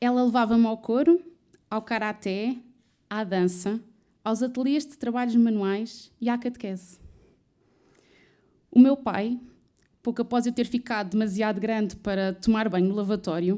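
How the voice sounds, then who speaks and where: A woman with a dark, mellow tone speaks at a fairly high pitch, with ordinary pitch variation and long, frequent pauses. Her loudness swings widely, in a very clean recording with a silent background. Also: moderate pace. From Portugal, Odivelas (Lisbon area). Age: 20s. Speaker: student and trainee recruiter. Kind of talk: personal storytelling talk.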